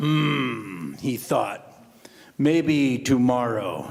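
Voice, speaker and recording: A man puts on a growling character voice at a medium pitch, with lively intonation. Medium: solo performance. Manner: simple, halting.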